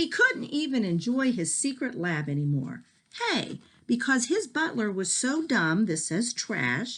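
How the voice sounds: The clip carries a natural reading voice.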